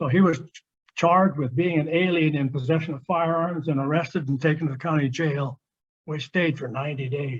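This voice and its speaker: With an American accent, a man talks at a fairly quick pace in a fairly high, somewhat breathy voice, his intonation fairly even. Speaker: Japanese American WWII witness. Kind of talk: lecture.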